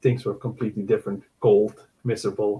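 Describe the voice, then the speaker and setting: The speaker has a Surinamese accent, a dark, mellow, somewhat breathy tone and a moderate pace. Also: man. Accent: Surinamese-Dutch. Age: 50s. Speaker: podcast guest. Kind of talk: casual interview.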